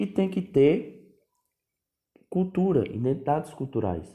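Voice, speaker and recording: A man with a dark, mellow tone talks at a fairly slow pace. His pitch swings very widely amid audible room echo. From Northeast Brazil, Paraíba. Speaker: history teacher. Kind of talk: lecture. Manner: casual, conversational.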